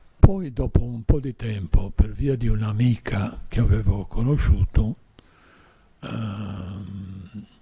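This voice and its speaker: A man with a fairly low pitch speaks at a very slow pace, showing vocal fry. His tone is dark and mellow, with ordinary pitch variation. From Sardinia, Porto Torres and Sassari. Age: 80s+. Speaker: invited speaker at a tourism conference. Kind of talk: personal storytelling at a conference. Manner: halting.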